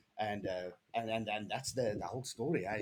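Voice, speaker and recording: With a South African accent, a man speaks at a moderate pace using lively intonation. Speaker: DevOps engineer. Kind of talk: podcast interview. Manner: animated.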